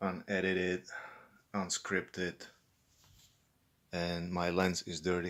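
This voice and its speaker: A man with a Czech accent, very deep and low in pitch, flat and monotone, at a very slow pace. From Czech Republic. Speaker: vlogger. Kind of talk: unscripted vlog monologue. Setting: indoors at an apartment window, filming. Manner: halting, many fillers and repetitions.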